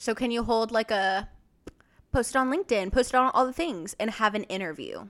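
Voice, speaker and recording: A woman with an American accent and a plain, everyday voice speaks at a fairly quick pace and a fairly high pitch. Her intonation is lively, on a very clean recording with a silent background. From Texas. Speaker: interior designer. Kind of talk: casual chat.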